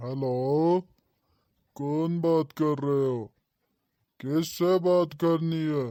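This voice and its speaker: A put-on character voice at a middle pitch moves at a very slow pace. Long, frequent pauses break it up. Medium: comedy sketch. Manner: curt, threatening.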